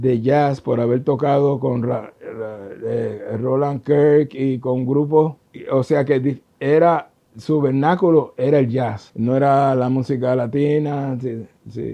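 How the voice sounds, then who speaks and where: A man with a Puerto Rican accent speaks at a very slow pace, his tone dark and mellow and his intonation fairly even. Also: medium pitch for a man. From Puerto Rico. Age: 70s. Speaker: trombonist. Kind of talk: interview answer.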